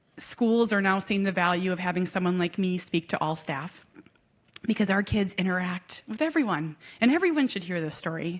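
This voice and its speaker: A woman with an American accent speaks at a medium pitch and a moderate pace. Her tone is animated, with ordinary pitch variation. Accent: Minnesota accent, comes out at times. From Minnesota. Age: 40s. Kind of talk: keynote talk.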